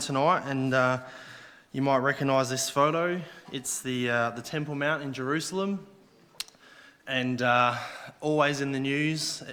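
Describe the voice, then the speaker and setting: A bright, sharp tone in an Australian accent, moderately paced and fairly even in intonation, with audible room echo. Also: man. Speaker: lay preacher. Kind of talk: sermon. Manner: halting.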